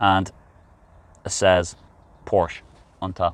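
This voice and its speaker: Very deep and low-pitched, a man with a non-native accent talks at a fairly slow pace. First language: not English. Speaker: car reviewer. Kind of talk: casual car review. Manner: halting, with fillers.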